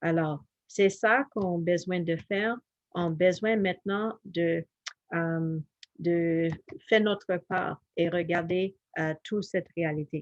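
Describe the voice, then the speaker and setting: In a dry, close sound with no echo, a woman with an English accent speaks very slowly in a fairly low voice, with fairly even intonation and long, frequent pauses. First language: English (speaking French). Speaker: health educator. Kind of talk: health presentation. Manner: halting, many fillers.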